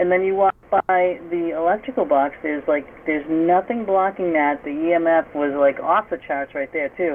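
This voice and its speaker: Lively intonation at a moderate pace in a Massachusetts accent, with noticeable background noise. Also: woman. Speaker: paranormal investigator. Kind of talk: interview. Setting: radio show.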